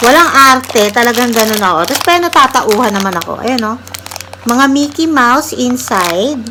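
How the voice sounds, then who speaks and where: A woman with a high pitch and lively intonation talks while noticeable background noise fills the recording. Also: moderate pace. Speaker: vlogger, cook. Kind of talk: casual vlog chat.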